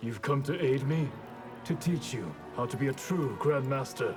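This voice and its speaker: A man's put-on character voice at a fairly slow pace over clear background music. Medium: short film. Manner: solemn, measured.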